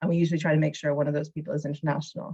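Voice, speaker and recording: A woman speaks in a somewhat breathy voice. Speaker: arts funding officer. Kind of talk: information session presentation. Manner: fast.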